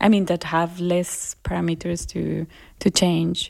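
Against a silent background on a very clean recording, a woman speaks in a dark, mellow tone. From Colombia. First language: Spanish. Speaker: musician and producer. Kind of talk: interview.

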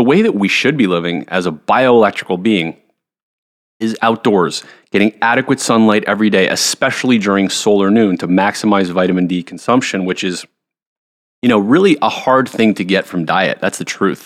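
A man speaks at a moderate pace with a fairly low pitch. He has an unremarkable speaking voice. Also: ordinary pitch variation. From Montreal, Canada. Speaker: health coach. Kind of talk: casual interview.

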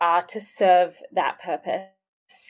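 A woman's medium-pitched voice with a slight Australian accent, in a very clean recording against a silent background. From Sydney, Australia. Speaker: music minister and ministry worker. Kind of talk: casual interview chat.

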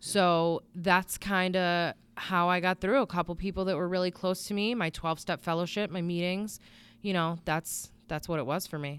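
A woman with an American accent, fairly even in intonation, in a very clean recording against a silent background. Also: fairly low pitch for a woman, moderate pace. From Connecticut, New England (Bristol). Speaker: area coach, addiction survivor. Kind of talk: interview testimony.

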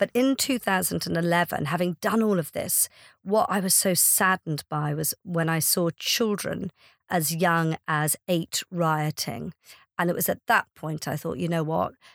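A woman in an Irish accent speaks at a fairly slow pace with a fairly low pitch and ordinary pitch variation, in a dry, close sound with no echo on a very clean recording with a silent background. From Ireland. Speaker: charity founder and CEO. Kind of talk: interview.

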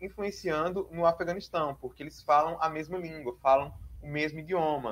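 A man at a fairly high pitch and moderate pace, in an ordinary speaking voice. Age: 20s. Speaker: doctoral researcher in international politics and religion. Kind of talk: interview.

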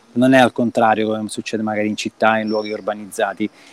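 This man talks at a fairly quick pace in a medium pitch, with a dry, close sound that has no echo. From Calabria, Reggio Calabria. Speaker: film director. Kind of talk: casual interview. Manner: halting, with repeated words.

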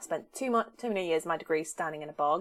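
In a southern English accent, this speaker moves at a fairly quick pace with very wide pitch swings. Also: woman. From southern England. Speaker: podcast host. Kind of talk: casual interview chat.

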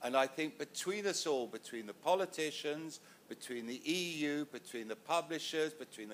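A man with a southern English accent, fairly high-pitched, at a moderate pace with ordinary pitch variation. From England. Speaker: music manager, panelist. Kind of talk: panel discussion. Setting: stage with audience.

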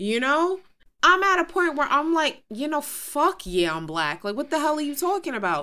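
A woman uses a raised, projected voice with a high pitch, very wide pitch swings and a bright, sharp tone at a moderate pace, on a very clean recording with a silent background. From New York City, Queens. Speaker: podcast co-host. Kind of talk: casual chat. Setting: studio.

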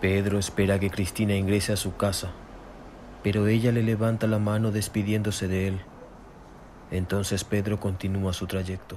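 A man speaks with little pitch movement. His tone is slightly mellow. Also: fairly low pitch for a man, moderate pace.

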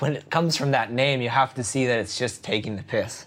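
Speaking at a moderate pace, a man uses an ordinary speaking voice with medium pitch and ordinary pitch variation. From New Jersey. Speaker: surf magazine editor. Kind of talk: interview.

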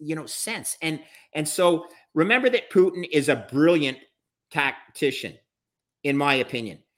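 A man with a Canadian accent speaks at a moderate pace with lively intonation. His is an unremarkable speaking voice. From Canada. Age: 60s. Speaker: bond trader and finance expert. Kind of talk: casual interview discussion.

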